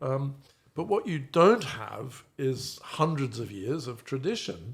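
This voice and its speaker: A man with a British accent talks at a very slow pace in a medium pitch with vocal fry. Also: lively intonation. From Australia by family, trained in London. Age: 60s. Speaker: stage actor. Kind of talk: interview. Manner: halting.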